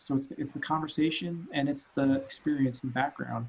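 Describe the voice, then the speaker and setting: Fairly quick and somewhat breathy, a man's voice sits at a fairly high pitch. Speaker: CEO of a consulting company. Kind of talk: interview. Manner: fast.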